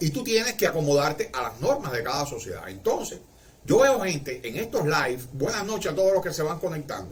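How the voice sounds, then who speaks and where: In a Cuban accent, a man speaks with a high pitch and lively intonation at a moderate pace, with audible room echo. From Cuba, Marianao, Havana. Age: 60s. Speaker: livestreamer. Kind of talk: casual livestream monologue.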